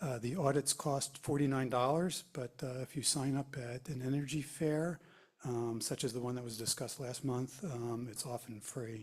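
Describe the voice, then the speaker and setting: A man with a medium-pitched, somewhat breathy voice speaks at a moderate pace. His intonation stays fairly even. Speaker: environmental council member. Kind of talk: committee report. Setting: township public meeting. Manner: halting, many fillers.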